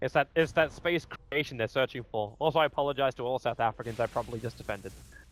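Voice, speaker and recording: Very fast, animated speech from a man at medium pitch, ordinary pitch variation, music in the background. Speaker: esports commentator. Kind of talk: live commentary.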